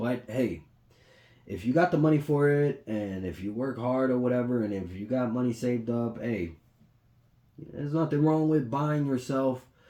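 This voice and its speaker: A man speaks at medium pitch with a dark, mellow tone. His pace is moderate and his pitch variation ordinary. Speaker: podcast host doing tech review. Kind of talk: casual product review monologue.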